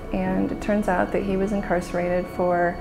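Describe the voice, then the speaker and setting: A woman speaks with music in the background. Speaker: legal aid executive director. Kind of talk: interview answer.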